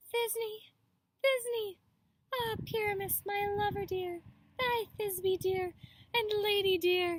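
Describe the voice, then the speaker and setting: A woman does a squeaky put-on character voice at an extremely high pitch, going at a very slow pace with long, frequent pauses. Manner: exaggerated, theatrical.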